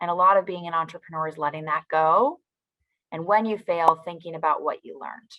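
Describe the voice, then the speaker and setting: Her pitch fairly low and her intonation fairly even, a woman speaks at a fairly quick pace with big swings in loudness. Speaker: foundation president. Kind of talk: motivational talk to young audience. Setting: virtual event. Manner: frequent ums.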